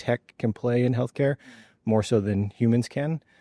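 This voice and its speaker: In a very clean recording with a silent background and a dry, close sound with no echo, a man with an American accent speaks at medium pitch and a moderate pace, his tone dark and mellow with ordinary pitch variation. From United States. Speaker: physician and health tech executive. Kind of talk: podcast interview.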